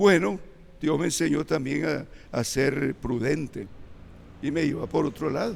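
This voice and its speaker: Using vocal fry, a man talks at a fairly slow pace with long, frequent pauses. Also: fairly high pitch for a man, ordinary pitch variation. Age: 80s+. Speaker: church elder preacher. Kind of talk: sermon.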